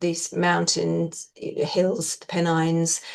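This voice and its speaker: A woman with a southern English accent. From southeast England (Maidstone, Kent). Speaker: actress. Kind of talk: interview.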